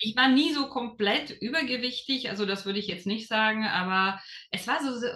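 A woman talks at a moderate pace with lively intonation while noticeable background noise carries on behind her. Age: 30s. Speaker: lawyer and former program participant. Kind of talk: interview. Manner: hesitant, many fillers.

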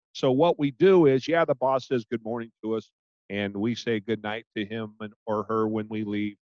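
A man talks at a moderate pace with a medium pitch and an ordinary speaking voice. The sound is dry and close, with no echo. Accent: American. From Portland, Oregon. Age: 50s. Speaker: podcast host and business owner. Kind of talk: casual interview.

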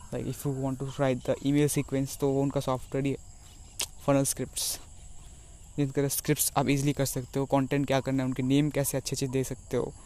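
A man's fairly high voice stays monotone and flat as he talks at a moderate pace. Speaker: aspiring online entrepreneur vlogger. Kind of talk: personal vlog monologue. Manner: halting.

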